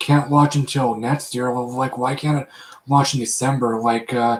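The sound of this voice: A man speaks at a moderate pace and medium pitch. His pitch barely moves.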